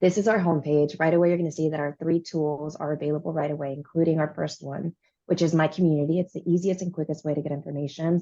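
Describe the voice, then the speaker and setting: A woman with a very deep, low pitch and a dark, mellow tone talks very fast in a flat monotone, with hardly any pauses. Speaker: presenter demoing a data website. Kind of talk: pre-recorded software demo presentation.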